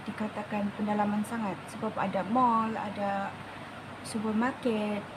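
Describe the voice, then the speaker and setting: With a Sabah accent, a woman talks at a moderate pace and fairly high pitch. Noticeable background noise and audible room echo fill the recording. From Malaysia, Sabah. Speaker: beauty vlogger. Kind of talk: makeup tutorial with casual storytelling. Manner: code-switching Malay and English.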